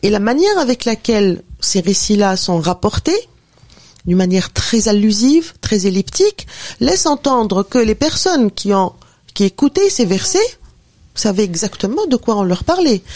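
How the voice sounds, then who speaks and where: Fairly high in pitch and fairly slow, a woman speaks in an unremarkable speaking voice with lively intonation and very even loudness. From Tunisia. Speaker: professor and author. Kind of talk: radio interview.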